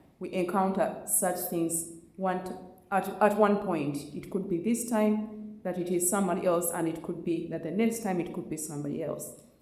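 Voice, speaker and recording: With audible room echo and noticeable background noise, a woman speaks at a medium pitch and moderate pace with fairly even intonation. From Uganda. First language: Luganda. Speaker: community panelist. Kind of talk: panel discussion. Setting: community event with audience.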